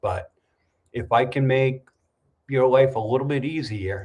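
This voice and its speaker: Somewhat breathy, a man speaks at a fairly slow pace, with medium pitch and ordinary pitch variation. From New England, US (New Hampshire). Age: 60s. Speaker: YouTube livestream host, expat vlogger. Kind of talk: casual livestream chat reading comments. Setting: livestream. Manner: conversational, with frequent fillers.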